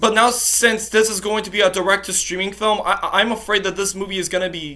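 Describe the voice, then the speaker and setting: Noticeable noise sits in the background. The speech moves fairly quickly. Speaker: YouTuber commenting on animated film news. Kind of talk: rant to camera. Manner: stuttering.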